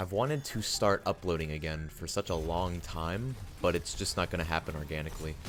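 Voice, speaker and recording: A soft-spoken man at a very deep, low pitch, with a fairly quick pace and ordinary pitch variation. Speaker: youtuber. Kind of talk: monologue. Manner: halting.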